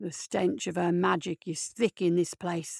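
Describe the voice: A woman puts on a growling character voice. It sits fairly low and moves at a moderate pace.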